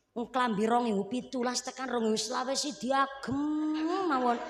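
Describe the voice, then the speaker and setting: Amid audible room echo and noticeable background noise, a woman speaks at a moderate pace in an animated tone. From Central Java. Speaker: female Islamic preacher. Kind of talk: religious sermon. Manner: humorous, animated.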